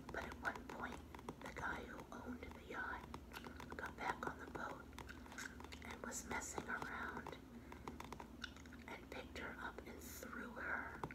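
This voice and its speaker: Whispering and soft-spoken at a fairly slow pace, the voice leaves long, frequent pauses over loud background noise. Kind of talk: casual collection review chat. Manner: soft ASMR whisper, close to mic. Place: home room. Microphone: phone near.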